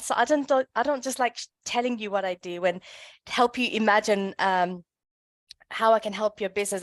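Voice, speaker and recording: With a British accent, a woman talks at a moderate pace and fairly high pitch with ordinary pitch variation, recorded dry and close with no echo over a quiet background. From London, England. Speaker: brand consultant. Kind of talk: workshop presentation. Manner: hesitant with many fillers.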